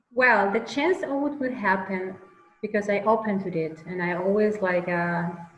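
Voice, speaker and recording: A woman at a medium pitch with ordinary pitch variation and a moderate pace, amid noticeable background noise and audible room echo. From Venezuela. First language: Spanish. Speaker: mural artist. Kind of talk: interview conversation. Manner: halting, searching for words.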